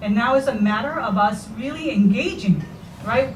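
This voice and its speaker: A woman with a Spanish accent speaks at a fairly high pitch and a moderate pace. Audible room echo and noticeable background noise come through. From Puerto Rico. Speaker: parent speaking at public forum. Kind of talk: public forum comment.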